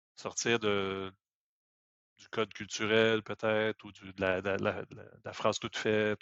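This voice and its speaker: Speaking at a very slow pace, a man with a fairly low pitch keeps a monotone, flat intonation while his loudness swings widely. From Quebec. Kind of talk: casual chat.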